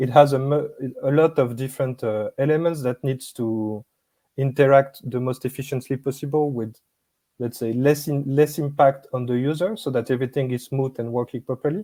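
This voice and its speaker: A man's dark, mellow voice with a French accent and fairly even intonation, in a very clean, dry, close recording with no echo and a silent background. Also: medium pitch for a man, moderate pace. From France. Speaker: business product manager. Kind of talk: interview.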